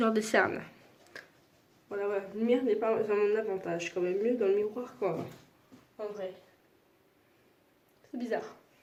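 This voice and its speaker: A woman at a moderate pace, fairly high in pitch, with fairly even intonation and long, frequent pauses. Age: 20s. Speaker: vlogger. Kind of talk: casual talk to camera.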